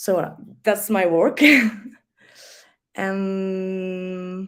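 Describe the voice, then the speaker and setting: A woman with a French accent speaks at a medium pitch with fairly even intonation. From France. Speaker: festival artistic director. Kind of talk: online panel discussion. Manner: halting.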